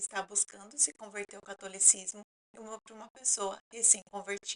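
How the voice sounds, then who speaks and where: A woman speaks at a moderate pace with a medium pitch. Her tone is bright and sharp, and the sound is dry and close with no echo. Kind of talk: talking-head explainer.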